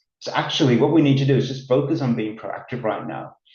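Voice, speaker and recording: The voice is somewhat breathy, with a slight Australian accent. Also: man. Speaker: business consultant. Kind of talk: webinar presentation. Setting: online webinar.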